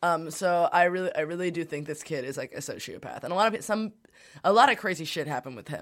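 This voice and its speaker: On a very clean recording with a silent background, a woman with a fairly low voice talks at a very fast pace, her intonation lively and her loudness swinging widely. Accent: American. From Brooklyn, New York. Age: 20s. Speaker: radio host. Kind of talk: casual chat.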